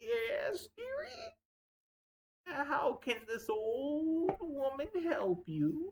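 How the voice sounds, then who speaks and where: A man puts on a character voice with an extremely high pitch, talking at a very slow pace with long, frequent pauses. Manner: sweet, dearie-style.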